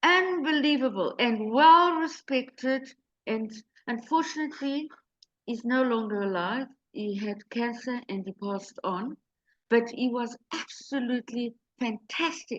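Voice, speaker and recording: With a Portuguese accent, a woman speaks at a high pitch and a fairly slow pace. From Mozambique. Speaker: real estate agent. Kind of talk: interview. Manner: halting.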